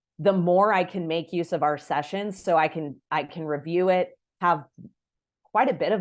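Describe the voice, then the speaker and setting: A woman with a normal speaking voice talks at a moderate pace and fairly low pitch, with ordinary pitch variation against a quiet background. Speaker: family therapist. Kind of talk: workshop presentation.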